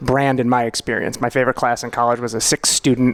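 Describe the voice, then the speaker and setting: A man speaks with an American accent at medium pitch. He keeps a fairly quick pace. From New York, Long Island. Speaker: financial planner and law lecturer. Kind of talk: podcast interview. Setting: podcast studio with live audience. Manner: hesitant, many fillers and restarts.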